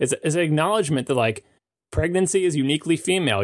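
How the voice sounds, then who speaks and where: Talking at a very fast pace, a man with a Long Island accent uses lively intonation. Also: very clean recording, silent background. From US Northeast, Long Island. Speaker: podcast panelist. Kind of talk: casual chat.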